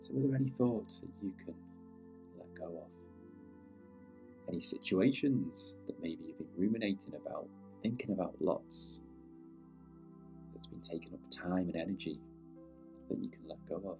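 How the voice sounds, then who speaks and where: A man with a British accent speaks in a calm tone at a moderate pace, with long, frequent pauses and big swings in loudness. Music plays in the background. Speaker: meditation guide. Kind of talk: guided meditation. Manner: calm, unscripted.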